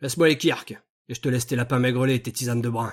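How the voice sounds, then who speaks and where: Using a raspy put-on character voice at a medium pitch, a man races along at a very fast pace. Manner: curt, sharp.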